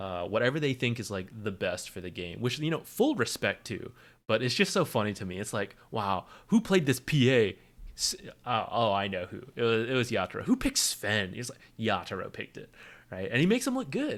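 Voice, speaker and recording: On a very clean recording with a silent background, a man with a medium pitch speaks at a fairly quick pace with lively intonation. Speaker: streamer watching esports. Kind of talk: live commentary. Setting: home stream. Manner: quieter than usual; loud by nature.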